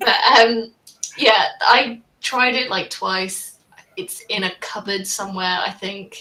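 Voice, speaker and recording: With a British accent, a woman speaks at a very slow pace and a fairly high pitch, her loudness swinging widely and her pitch varying in an ordinary way. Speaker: livestream panel host. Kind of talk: casual panel discussion. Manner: conversational, uses fillers.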